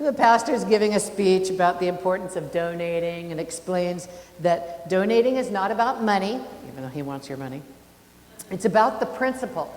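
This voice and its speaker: At a fairly quick pace, a woman with a medium pitch uses lively intonation and big swings in loudness, amid audible room echo and noticeable background noise. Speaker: minister. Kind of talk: sermon.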